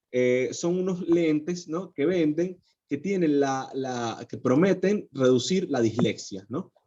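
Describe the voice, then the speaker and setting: Speaking at a very slow pace, a man with a fairly high pitch and a dark, mellow tone uses lively intonation. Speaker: psychologist. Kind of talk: lecture. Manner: halting.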